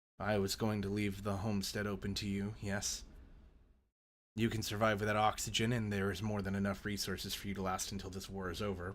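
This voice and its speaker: In a put-on character voice, raspy and monotone with flat intonation, the speaker moves at a fairly quick pace. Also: man, fairly low pitch for a man. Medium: actual play. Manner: measured, calm.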